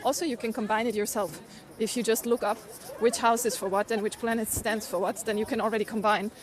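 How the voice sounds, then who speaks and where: Speaking at a very fast pace with a German accent, a woman at a medium pitch keeps a fairly even intonation against noticeable background noise. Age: 40s. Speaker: livestreamer. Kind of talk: casual chat. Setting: outdoors.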